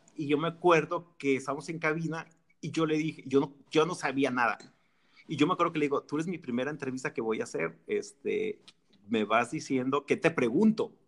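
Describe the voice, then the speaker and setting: This man has a normal speaking voice, pitched fairly high, with ordinary pitch variation. He talks at a fairly quick pace. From Mexico, Jalisco. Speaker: music industry PR director and radio host. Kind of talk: casual chat.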